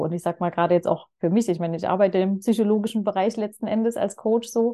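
A woman's dark, mellow tone at a fairly quick pace, with ordinary pitch variation. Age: 30s. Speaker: personal and business coach. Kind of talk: casual chat.

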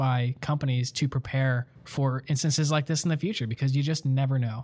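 In a very clean recording with a silent background, a man with an American accent talks at a fairly high pitch, somewhat breathy and with fairly even intonation. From Buffalo, New York. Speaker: podcast co-host, production director. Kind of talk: casual chat.

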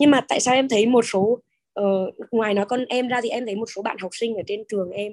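A plain, everyday voice moves at a fairly quick pace. The intonation stays fairly even. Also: woman. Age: 30s. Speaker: class participant, mother. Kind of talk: testimony. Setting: video call.

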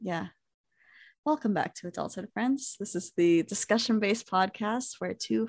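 Speaking at a fairly slow pace, a woman with a medium pitch uses lively intonation, recorded dry and close with no echo against a quiet background. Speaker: podcast co-host. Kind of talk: casual chat. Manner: laughs often.

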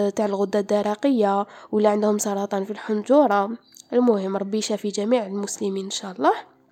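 Noticeable background noise sits behind a woman speaking at a moderate pace with fairly high pitch. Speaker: podcaster. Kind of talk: informative podcast talk.

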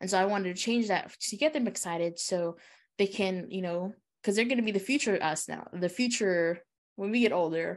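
Against a quiet background, a woman with an American accent talks at a fairly quick pace in an ordinary speaking voice, medium in pitch with ordinary pitch variation. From US, Hmong American community. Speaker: podcast co-host. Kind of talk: casual chat.

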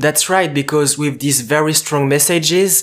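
The recording is very clean with a silent background. A man with a fairly high pitch speaks at a moderate pace. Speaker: podcast host, student. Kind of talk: interview.

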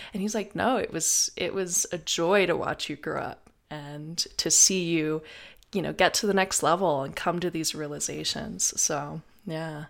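An ordinary speaking voice from a woman with an American accent, fairly low in pitch with ordinary pitch variation. She speaks at a moderate pace on a very clean recording with a silent background. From US South. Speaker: podcast host. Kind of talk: casual chat.

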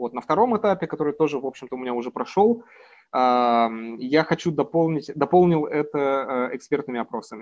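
His voice is fairly high for a man, with a lively melody. He keeps to a moderate speed. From Urals, Russia. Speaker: political scientist. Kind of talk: interview. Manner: hesitant, many fillers.

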